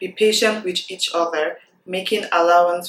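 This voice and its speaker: A woman speaks in a fairly low pitch. Her intonation stays fairly even. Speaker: self-improvement vlogger. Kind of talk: scripture reading practice with pauses. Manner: slow, with deliberate pauses.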